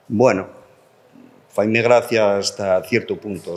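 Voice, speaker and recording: Very slowly, a man talks in a fairly low pitch with a monotone, flat intonation. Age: 60s. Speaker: politician, language policy spokesperson. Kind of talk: panel debate. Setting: public round table with audience.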